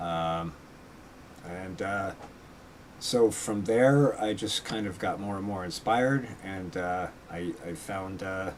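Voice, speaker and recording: A man with an American accent talks in a very deep, low pitch. His pace is very slow, with long pauses coming often. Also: ordinary pitch variation. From upstate New York (Red Hook). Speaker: radio host and small-scale farmer. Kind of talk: live radio show monologue. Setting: live stream broadcast. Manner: halting, many fillers.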